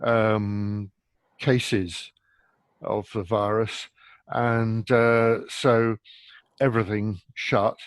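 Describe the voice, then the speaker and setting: Over a quiet background, a man speaks very slowly in a flat monotone with long, frequent pauses, the sound dry and close with no echo. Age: 60s. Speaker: retired paramedic. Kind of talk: podcast interview.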